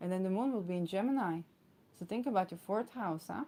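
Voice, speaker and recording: Speaking at a fairly quick pace, a woman of medium pitch has a dark, mellow tone and ordinary pitch variation. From Israel. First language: Hebrew. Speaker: astrologer. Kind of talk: astrology talk. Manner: many fillers and hesitations.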